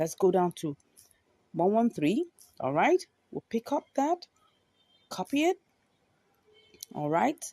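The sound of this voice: A woman speaks at medium pitch in a dark, mellow tone, with big pitch swings, a slow pace and long, frequent pauses, in a dry, close sound with no echo.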